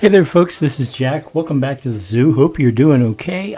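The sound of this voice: Lively in intonation, a man speaks at a fairly high pitch with a dark, mellow tone and a slightly husky edge.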